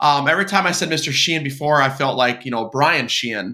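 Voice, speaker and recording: A man's fairly high voice with a Minnesotan accent. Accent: Minnesota. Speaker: podcast host. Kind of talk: podcast interview.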